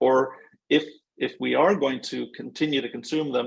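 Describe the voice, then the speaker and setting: A man with an American accent keeps to a moderate pace. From United States. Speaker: environmental NGO expert. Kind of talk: webinar Q&A answer.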